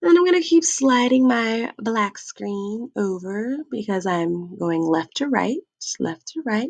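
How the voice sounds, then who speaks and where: An animated woman at a fairly slow pace with very wide pitch swings, in a dry, close sound with no echo. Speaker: math teacher. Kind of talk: tutorial.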